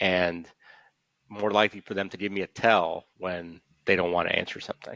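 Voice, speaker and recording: In an American accent, a man with a very deep, low pitch speaks in a monotone, flat intonation, with a dry, close sound with no echo and a quiet background. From Chicago, then Miami. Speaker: trial lawyer. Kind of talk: interview.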